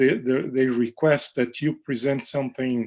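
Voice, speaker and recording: Against a quiet background, a man talks in a Portuguese accent. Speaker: professor of oral medicine. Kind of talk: lecture Q&A. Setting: live online session. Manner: hesitant, many fillers.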